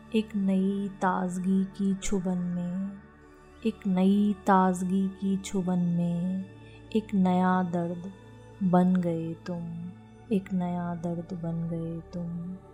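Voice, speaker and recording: A woman at a very slow pace with monotone, flat intonation, music in the background. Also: medium pitch for a woman. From India. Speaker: poet. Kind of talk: poetry reading.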